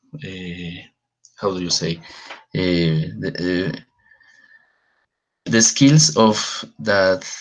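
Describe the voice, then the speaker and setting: A man with a Spanish accent, very slow, with long, frequent pauses, a very deep, low pitch, big swings in loudness and lively intonation. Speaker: philosopher working in prisons. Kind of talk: panel discussion. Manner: halting.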